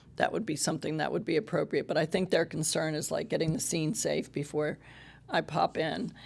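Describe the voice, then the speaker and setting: Speaking at a fairly quick pace, a woman with a very deep, low pitch and vocal fry uses ordinary pitch variation. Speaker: police social worker. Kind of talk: public meeting remarks. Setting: city council meeting. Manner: halting.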